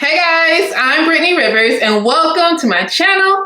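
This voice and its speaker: A woman's raised, projected voice swings very widely in pitch, with noticeable background noise and audible room echo. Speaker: beauty vlogger. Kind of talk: product unboxing review. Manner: fast; animated.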